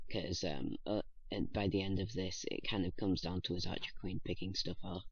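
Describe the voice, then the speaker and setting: A man talks quietly at a fairly quick pace, somewhat breathy, with fairly even intonation. The recording has audible room echo. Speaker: gaming youtuber. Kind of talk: gameplay commentary. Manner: halting.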